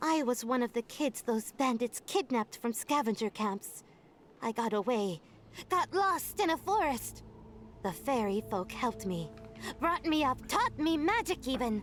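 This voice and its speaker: A put-on character voice, female-sounding and fairly high, over clear music in the background. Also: moderate pace. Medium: game stream. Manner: cheeky, brash.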